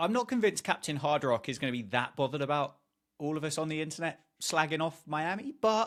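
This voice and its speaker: Speaking with a British accent at a fairly quick pace, a man uses a fairly high voice with very wide pitch swings. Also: very clean recording, silent background. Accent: British, remarked by self. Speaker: podcast co-host. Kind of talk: casual chat.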